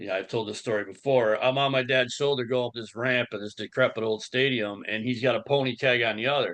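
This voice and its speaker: A man with an American accent has an ordinary speaking voice at a medium pitch. He talks at a fairly quick pace with fairly even intonation and hardly any pauses. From Buffalo, New York. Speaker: podcast host. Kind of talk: casual chat.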